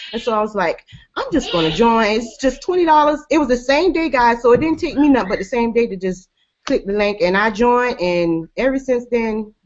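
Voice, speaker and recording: Using an American accent, a woman talks at a fairly quick pace. Her pitch is high and her intonation lively. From US South. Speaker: network marketing team member. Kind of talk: testimony.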